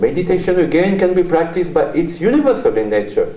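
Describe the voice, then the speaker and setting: Noticeable background noise and audible room echo accompany a man talking at a fairly quick pace. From France. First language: French. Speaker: journalist and author, keynote speaker. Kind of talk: keynote lecture. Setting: university conference hall with audience.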